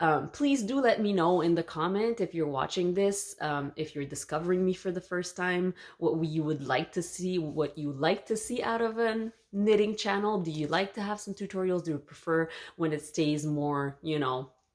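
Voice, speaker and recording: In a Quebec accent, a woman with a fairly low pitch speaks at a moderate pace with ordinary pitch variation. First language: French. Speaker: knitting youtuber and teacher. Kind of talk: casual vlog introduction. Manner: hesitant, with fillers.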